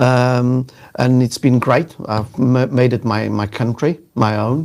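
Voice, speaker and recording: A man with a South African accent, medium pitch, fairly even intonation and a very slow pace. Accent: South African, noticeable. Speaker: sales executive and LinkedIn trainer. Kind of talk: casual live interview. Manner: hesitant, many fillers.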